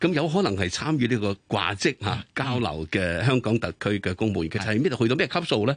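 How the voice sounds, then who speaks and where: A man's fairly quick delivery with very wide pitch swings and hardly any pauses, dry and close with no echo, over a quiet background. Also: medium pitch for a man. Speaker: radio co-host. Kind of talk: radio interview. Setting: studio.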